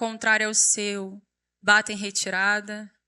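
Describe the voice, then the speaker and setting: The delivery has a fairly slow pace. A bright, sharp tone marks the voice. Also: woman. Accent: Rio de Janeiro. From Rio de Janeiro, Brazil. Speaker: preacher, youth pastor. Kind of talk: sermon. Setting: church stage with audience.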